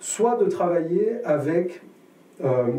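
Audible room echo surrounds a man speaking with a southern French accent. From southern France. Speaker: jazz guitarist and teacher; teacher. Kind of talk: interview. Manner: halting, many hesitations. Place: studio.

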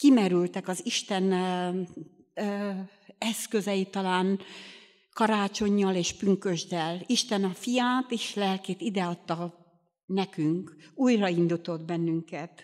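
The background stays quiet. A woman talks at a very slow pace. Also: medium pitch for a woman. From Romania, Bihor region (Hungarian minority); Romania. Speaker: lay preacher at a Baptist youth meeting. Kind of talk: sermon. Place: church. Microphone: studio mic.

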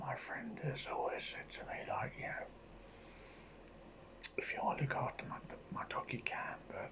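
A man whispering, with long, frequent pauses. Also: moderate pace. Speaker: ASMR content creator. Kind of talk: casual ASMR talk to camera. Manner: whispered, rambling. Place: home room. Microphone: phone near.

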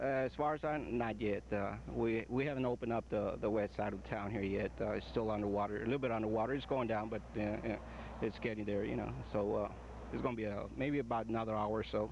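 A man's fairly low, fairly quick voice with vocal fry, ordinary pitch variation and very even loudness, dry and echo-free, over noticeable background noise. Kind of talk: interview answer. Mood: calm, occasionally smiling. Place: open country.

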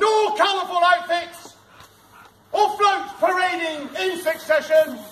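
A loud, extremely high male voice at a very slow pace, with ordinary pitch variation and noticeable background noise. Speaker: town crier. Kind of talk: town crier proclamation in rhyme. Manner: loud, projected, ceremonial. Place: street. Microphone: camera far.

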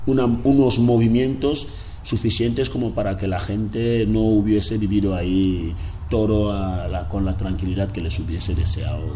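Over light background noise, a man speaks at a moderate pace in a fairly low pitch with ordinary pitch variation. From Equatorial Guinea, Río Muni interior (Fang region). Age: 40s. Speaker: cartoonist and former political prisoner. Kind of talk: interview. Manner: halting, with many repetitions. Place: home room.

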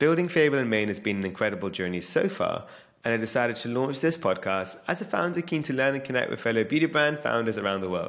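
A man talks at a very fast pace with very wide pitch swings. The background is quiet. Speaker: podcast host. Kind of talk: podcast intro. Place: studio. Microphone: studio mic.

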